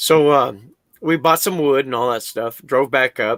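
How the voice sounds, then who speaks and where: Recorded with a dry, close sound and no echo, a man speaks at a moderate pace with ordinary pitch variation. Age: 60s. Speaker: welder recounting a Sasquatch encounter. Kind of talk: interview storytelling. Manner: halting, many fillers and restarts; casual, swears freely.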